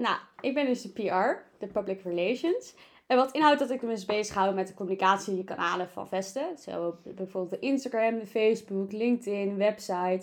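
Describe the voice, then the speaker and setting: A woman talks at a moderate pace with ordinary pitch variation. Hers is an ordinary speaking voice at medium pitch. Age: 20s. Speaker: student council member, podcast co-host. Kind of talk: casual chat. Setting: studio.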